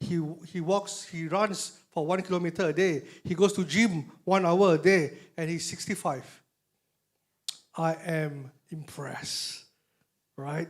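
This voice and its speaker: This man's voice is high-pitched and fairly slow. Long, frequent pauses break up his speech. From Malaysia. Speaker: motivational speaker. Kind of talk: motivational talk. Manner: animated.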